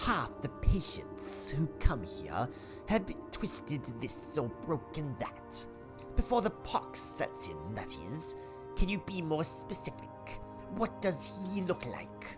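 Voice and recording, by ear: A man in a put-on character voice at a fairly slow pace, with loud music in the background.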